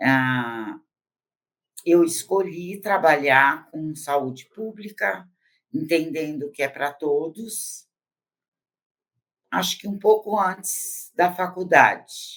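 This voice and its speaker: The speech moves at a very slow pace with lively intonation, big swings in loudness, and long, frequent pauses. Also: woman, fairly low pitch for a woman. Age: 70s. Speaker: psychologist. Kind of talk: interview. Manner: hesitant, with filler sounds.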